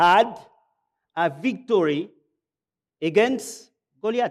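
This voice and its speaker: A man speaks at a very slow pace with long, frequent pauses. His intonation is lively. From Gabon. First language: French. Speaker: pastor. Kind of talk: sermon. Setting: church. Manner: halting.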